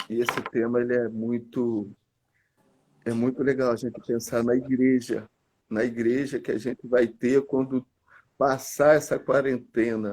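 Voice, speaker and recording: A man speaks in a flat monotone at a fairly slow pace. His speech has long, frequent pauses. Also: medium pitch for a man. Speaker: church leader. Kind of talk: casual chat. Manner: soft-spoken.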